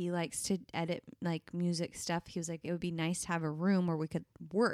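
A woman's fairly low voice in monotone, flat intonation, dry and close with no echo, very clean recording with a silent background. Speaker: podcast co-host. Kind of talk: casual chat.

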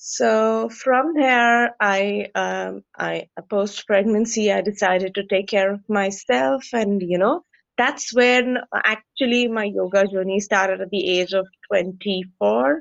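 With an Indian accent, a woman talks at a very slow pace. Her medium-pitched voice carries lively intonation. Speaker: yoga instructor. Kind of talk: interview. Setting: video call.

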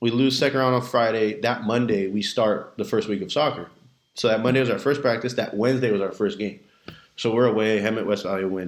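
Fairly quick and fairly even in intonation, a man with an ordinary speaking voice talks at medium pitch with an American accent. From Southern California, Redlands. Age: 20s. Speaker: high school coach and teacher. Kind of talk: casual chat.

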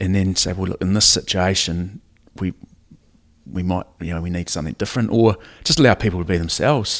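On a very clean recording with a silent background, a man with a New Zealand accent speaks at a fairly quick pace in a very deep, low pitch, with ordinary pitch variation and long, frequent pauses. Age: 40s. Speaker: rugby coach. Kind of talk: casual chat. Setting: at the host's house.

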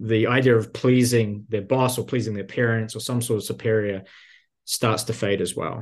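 The intonation is monotone and flat. The speaker has a New Zealand accent. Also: man, medium pitch for a man, moderate pace. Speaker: career coach. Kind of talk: casual interview conversation.

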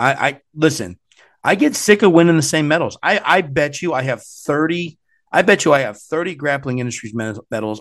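A man in a normal speaking voice with an American accent, fairly high in pitch, at a fairly quick pace. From US Midwest. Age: 40s. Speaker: martial arts competition organizer. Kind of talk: casual chat.

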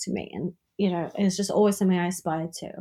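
Speaking at a fairly quick pace in a Welsh accent, a woman uses a medium pitch and a monotone, flat intonation, her voice somewhat breathy on a very clean recording with a silent background. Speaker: sex worker. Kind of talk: casual chat.

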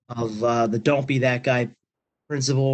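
A man's medium-pitched voice with an American accent. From Pennsylvania. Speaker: magazine staff, football official. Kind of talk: Q&A on a group call.

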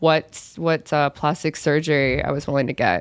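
A woman speaks at a moderate pace. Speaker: influencer and spokesmodel. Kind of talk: casual chat. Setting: studio.

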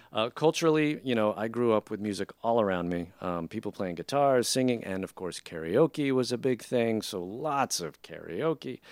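Here is a man with a normal speaking voice at a medium pitch, talking at a moderate pace. His intonation is lively, and the sound is dry and close with no echo. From Filipino-American family. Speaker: jazz band leader and musician. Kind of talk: casual interview chat.

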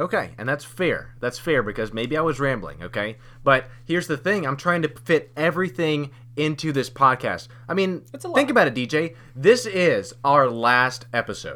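A man talks at a moderate pace. His pitch is fairly high and his intonation lively. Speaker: podcast host. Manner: talkative, rambling.

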